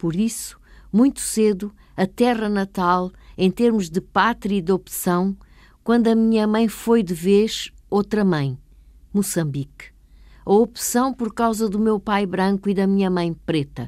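A woman speaks in a plain, everyday voice at medium pitch, with ordinary pitch variation. Her pace is fairly slow, and the recording is very clean with a silent background.

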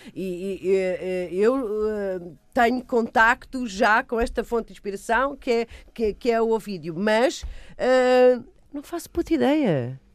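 A woman talks very slowly in a fairly high pitch, her intonation lively. The recording is very clean and the background silent. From Lisbon and Almada, Portugal. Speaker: actress and film director. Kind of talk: radio interview. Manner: halting, many fillers.

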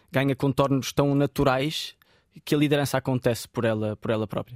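A man talks at a fairly quick pace with a European Portuguese accent, in a very clean recording with a silent background and a dry, close sound with no echo. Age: 20s. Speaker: football coach and sports commentator. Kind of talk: interview. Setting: radio studio.

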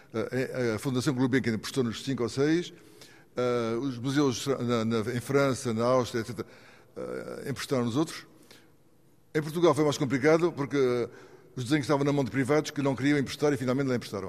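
Pausing long and often, a man talks at a moderate pace and medium pitch with fairly even intonation. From Mozambique. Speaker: outsider art collector and sculptor. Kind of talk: interview.

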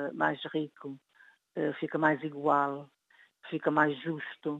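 A woman speaks at a very slow pace. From Cape Verde. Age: 70s. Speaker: writer. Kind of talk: interview. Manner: halting.

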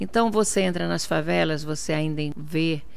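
A woman's voice with audible room echo. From Portugal, Viseu district, emigrated to Brazil at 10. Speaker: politician. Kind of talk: interview.

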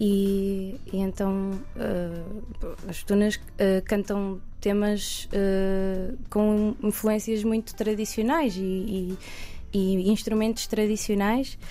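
Very slowly and in a flat monotone, a woman talks with a dark, mellow tone while room echo is audible. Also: medium pitch for a woman. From Portugal, Coimbra. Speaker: singer. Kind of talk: radio interview. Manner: halting, many fillers and repetitions.

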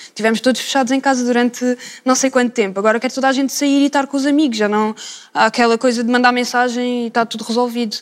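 The speech moves at a very fast pace in a monotone, flat intonation. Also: woman, high pitch for a woman. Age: young. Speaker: art student. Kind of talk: panel discussion.

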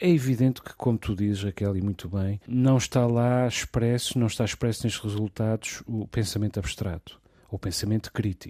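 A man with a fairly low pitch and a dark, mellow tone speaks at a moderate pace with hardly any pauses and ordinary pitch variation, in a dry, close sound with no echo on a very clean recording with a silent background. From Portugal. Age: 40s. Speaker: radio host. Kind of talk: casual discussion.

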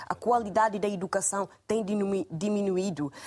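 This woman has a plain, everyday voice. Her pitch is medium, with ordinary variation. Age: young. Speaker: social activist. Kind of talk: televised panel debate. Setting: TV studio.

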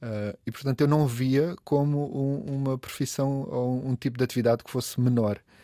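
A man's medium-pitched, dark and mellow voice at a moderate pace, with fairly even intonation and big swings in loudness, on a very clean recording with a silent background. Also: hardly any pauses. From Portugal, coastal Algarve (Olhão). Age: 50s. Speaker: food writer and event organizer. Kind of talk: casual interview. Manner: halting, many repetitions.

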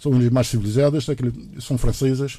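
This is a man with a medium pitch. He talks at a moderate pace. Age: 50s. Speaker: sailor. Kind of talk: radio interview. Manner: halting.

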